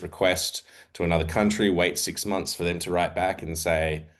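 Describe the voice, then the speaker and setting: A man with an Australian accent speaks at a moderate pace in a very deep, low pitch, his intonation fairly even over a quiet background. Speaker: investigative journalist, editor. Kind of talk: panel presentation. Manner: hesitant, many fillers.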